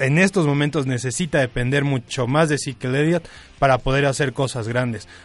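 Music plays behind a man speaking at a moderate pace. His pitch is fairly high, with ordinary variation. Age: 20s. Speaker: sports co-host on university radio. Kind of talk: casual radio chat. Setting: radio studio.

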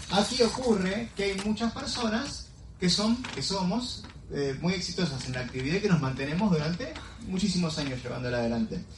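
An animated man with a high voice and very wide pitch swings at a fairly quick pace, with audible room echo and music in the background. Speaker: team meeting emcee. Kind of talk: motivational talk.

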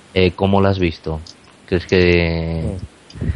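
Over noticeable background noise, a man talks in a very deep, low voice with fairly even intonation. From Spain, not Barcelona. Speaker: radio co-host interviewer. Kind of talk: interview.

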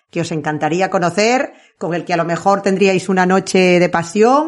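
A woman with an ordinary speaking voice talks at a fairly slow pace in a medium pitch. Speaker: podcast host. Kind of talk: casual chat.

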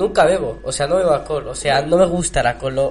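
Through noticeable background noise, a man with a high pitch talks at a very fast pace. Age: young. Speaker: sound technician. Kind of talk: casual chat. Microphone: no microphone, hard to hear.

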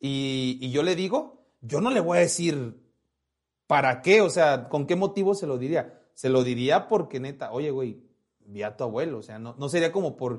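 Talking fairly slowly, a man with a plain, everyday voice has a fairly high pitch, lively intonation and big swings in loudness. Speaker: podcast host. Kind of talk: casual chat. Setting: live stream with chat.

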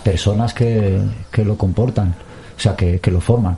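Somewhat breathy and dark, mellow in tone, a man's voice holds fairly even intonation. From Basque Country, Portugalete. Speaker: musician. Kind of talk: interview.

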